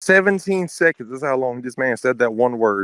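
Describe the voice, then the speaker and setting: At a fairly quick pace, a man speaks at a medium pitch, the sound dry and close with no echo. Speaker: podcast co-host. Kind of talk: casual chat. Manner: fast, excited-sounding; skips words, halting.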